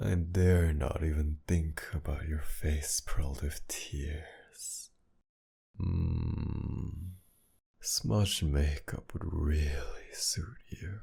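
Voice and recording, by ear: A man's put-on character voice, dark and mellow, with extremely low pitch, vocal fry and a very slow pace. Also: ordinary pitch variation.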